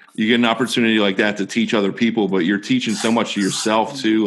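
An ordinary speaking voice from a man, fairly low in pitch, with fairly even intonation. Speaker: podcast host and coach. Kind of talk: casual interview. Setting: new microphone, recording remotely.

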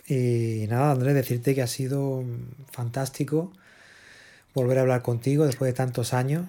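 In a dark, mellow tone at medium pitch, a man speaks at a moderate pace with monotone, flat intonation, very even loudness, and long, frequent pauses. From Spain (Barcelona). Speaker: podcast host, musician and producer. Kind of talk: interview.

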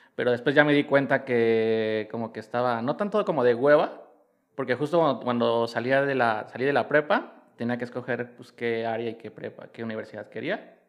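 A man speaks at a moderate pace and medium pitch in an unremarkable speaking voice, with ordinary pitch variation. His loudness swings widely. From Mexico City (Iztapalapa). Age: 30s. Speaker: fashion designer and stylist. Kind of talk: casual chat.

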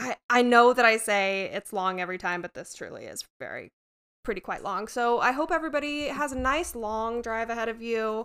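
On a very clean recording with a silent background, a woman with an animated tone speaks at a high pitch and a moderate pace. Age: 30s. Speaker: podcast host. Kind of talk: casual chat with storytelling. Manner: animated, laughing often.

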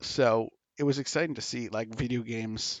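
This man has a plain, everyday voice at a medium pitch. He speaks at a moderate pace. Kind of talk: mock ring announcer intro, parody of a boxing bout call.

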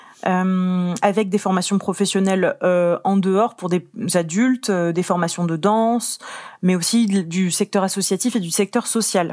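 On a very clean recording with a silent background, a woman at medium pitch talks in an unremarkable speaking voice. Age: 20s. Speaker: arts outreach officer. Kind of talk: interview.

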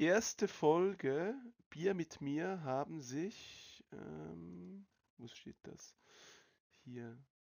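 Pausing long and often, a man speaks at a very slow pace in a fairly high pitch, with very wide pitch swings and big swings in loudness. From Switzerland. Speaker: podcast host. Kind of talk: casual chat. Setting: online voice call.

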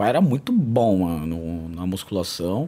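A man at a very slow pace, his pitch swinging very widely. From São Paulo, south zone periphery. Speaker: martial arts coach. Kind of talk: casual interview.

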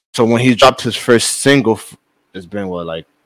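A man with an American accent, an ordinary speaking voice, medium pitch and a moderate pace. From the Bronx, New York. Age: 20s. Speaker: record label artist. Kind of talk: casual interview chat.

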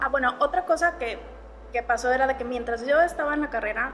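A woman talks in a high voice while noticeable noise fills the background. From Monterrey, northern Mexico. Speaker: illustrator. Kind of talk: casual interview chat. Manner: animated, laughs often.

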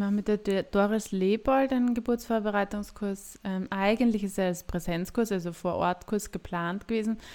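A woman with a plain, everyday voice, moderate pace, fairly even intonation and hardly any pauses, in a very clean recording with a silent background. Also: medium pitch for a woman. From Austria, Graz (Styria). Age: 30s. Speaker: midwife and podcast co-host. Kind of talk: casual chat.

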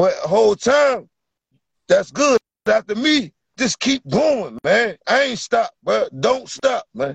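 Lively intonation marks very slow speech in a dry, close sound with no echo. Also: man, extremely high pitch for a man. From Virginia. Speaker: amateur fighter. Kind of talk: casual interview.

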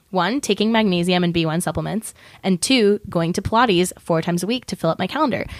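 Very fast and with lively intonation, a woman speaks in a very clean recording over a silent background. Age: 20s. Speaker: podcast co-host. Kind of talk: casual chat. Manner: animated.

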